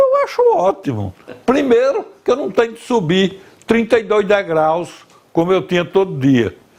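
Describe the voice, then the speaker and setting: Against noticeable background noise, a high-pitched man speaks at a fairly slow pace with lively intonation and big swings in loudness. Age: 70s. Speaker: veteran journalist and commentator. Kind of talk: interview.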